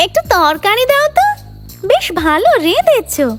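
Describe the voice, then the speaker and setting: A cartoonish, female-sounding character voice at extremely high pitch, fairly slow, over clear background noise. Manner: greedy, whining.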